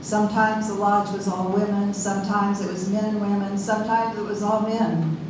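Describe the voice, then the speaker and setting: Moderate pace, audible room echo, and noticeable background noise. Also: woman. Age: 70s. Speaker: sweat lodge facilitator and minister. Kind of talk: live storytelling. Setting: stage with audience.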